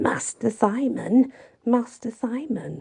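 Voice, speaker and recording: Someone performs a put-on character voice at a very slow pace. The pitch varies in an ordinary way. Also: woman. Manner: terrible, menacing.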